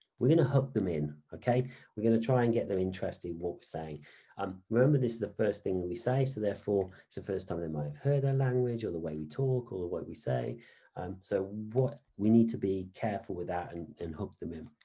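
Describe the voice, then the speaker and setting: Speaking at a fairly quick pace, a man uses lively intonation and big swings in loudness. His fairly low voice has a dark, mellow tone and is somewhat breathy. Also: quiet background. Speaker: business lecturer. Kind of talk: online lecture. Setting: online session. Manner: fast.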